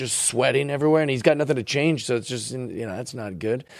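A man talks in an animated tone at a medium pitch. His pitch varies in an ordinary way. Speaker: comedian. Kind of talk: casual chat.

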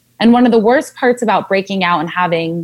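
An ordinary speaking voice from a woman with an American accent, at a medium pitch, with ordinary pitch variation. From Southern California. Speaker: wellness blogger and speech pathologist. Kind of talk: casual interview chat. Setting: remote recording during quarantine.

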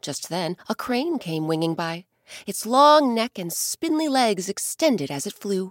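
Fairly slow and soothing, gentle in tone, a woman's medium-pitched voice moves in very wide pitch swings, in a very clean recording with a silent background and a dry, close sound with no echo. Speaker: storyteller host. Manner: slow, soothing and gentle, with storyteller inflection.

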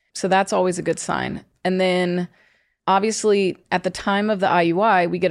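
With an American accent, a woman talks at a moderate pace and medium pitch in a monotone, flat intonation on a very clean recording with a silent background. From US South, Georgia. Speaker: fertility doctor. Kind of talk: casual chat.

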